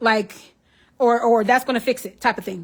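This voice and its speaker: A woman with an animated tone and a fairly high pitch speaks at a fairly quick pace. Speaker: psychic medium, tarot reader. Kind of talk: live stream tarot reading. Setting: Facebook live stream. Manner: fast.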